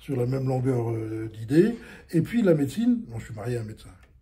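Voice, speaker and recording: This man's voice sits at a medium pitch, dark and mellow in tone. There is a somewhat breathy quality to it. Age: 70s. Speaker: general practitioner. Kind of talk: interview answer.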